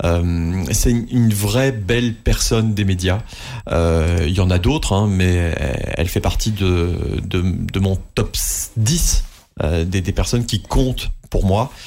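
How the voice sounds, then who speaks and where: Speaking at a very slow pace, a man uses a fairly low pitch with ordinary variation. His loudness stays very even. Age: 30s. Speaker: radio host. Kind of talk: interview. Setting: studio.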